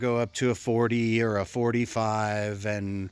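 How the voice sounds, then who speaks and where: The man's intonation is monotone and flat. The sound is dry with no echo, over a quiet background. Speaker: kayak fishing vlogger. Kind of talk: casual vlog talk. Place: garden. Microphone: phone near.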